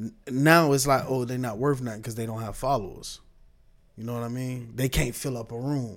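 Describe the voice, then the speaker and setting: Big swings in loudness mark this man's speech. He talks at a moderate pace with medium pitch and fairly even intonation. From Tampa, Florida. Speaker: comedian. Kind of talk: casual chat.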